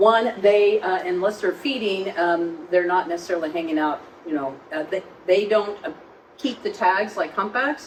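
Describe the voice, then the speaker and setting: Medium-pitched woman's voice with ordinary pitch variation over noticeable background noise. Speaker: marine lab executive director. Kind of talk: public talk with audience questions. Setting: live event venue with audience. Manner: fast.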